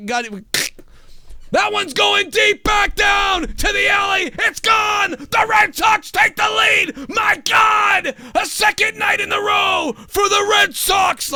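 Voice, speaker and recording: A man shouts in a put-on character voice pitched extremely high. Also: fairly slow pace. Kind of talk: sports broadcast. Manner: hyped, wrestling-announcer energy.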